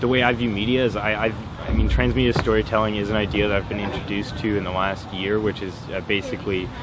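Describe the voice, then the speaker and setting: A man's fairly low voice at a very fast pace, with ordinary pitch variation, noticeable background noise and audible room echo. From Ottawa, Canada. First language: French. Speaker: film producer. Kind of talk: interview. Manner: halting, many fillers.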